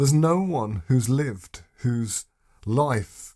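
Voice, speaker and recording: With lively intonation, a man speaks in a dark, mellow, somewhat breathy tone at a medium pitch. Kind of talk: sermon-style teaching video.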